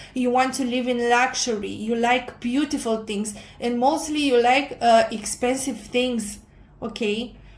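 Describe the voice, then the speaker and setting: In a room with audible echo, a woman with a non-native accent speaks fairly slowly in a high, flat monotone. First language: not English. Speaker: tarot reader. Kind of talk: tarot reading monologue. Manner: halting, many fillers.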